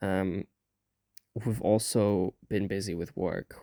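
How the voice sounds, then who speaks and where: The voice has a dark, mellow tone and ordinary pitch variation, heard with a dry, close sound and no echo on a very clean recording with a silent background. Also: man. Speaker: VTuber gamer. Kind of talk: gameplay commentary voice-over. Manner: hesitant, many fillers.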